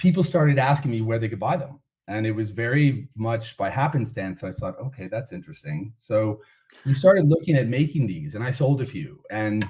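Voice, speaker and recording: A man with an American accent and a somewhat breathy voice, fairly quick pace and lively intonation, on a very clean recording with a silent background. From United States. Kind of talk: podcast interview.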